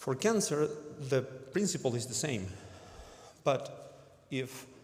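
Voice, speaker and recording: A man with a non-native accent speaks at a medium pitch and a very slow pace. His intonation is lively, and audible room echo surrounds him. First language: not English. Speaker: cancer researcher. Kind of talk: conference talk. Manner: halting, many fillers.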